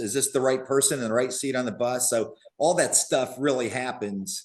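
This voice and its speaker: A man speaks in a normal speaking voice at a moderate pace with fairly even intonation. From Western Pennsylvania. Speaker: business broker. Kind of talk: interview conversation.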